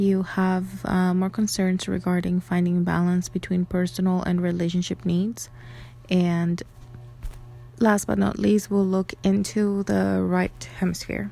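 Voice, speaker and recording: A woman talks at a fairly slow pace with music playing in the background. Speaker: astrology content creator. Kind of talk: tutorial. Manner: hesitant, many fillers.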